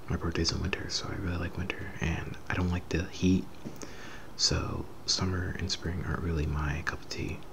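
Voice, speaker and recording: A man whispers in a relaxed tone at a moderate pace. Noticeable background noise can be heard. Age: 20s. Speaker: ASMR creator. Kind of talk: casual softly spoken Q&A to camera. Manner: soft-spoken, relaxed.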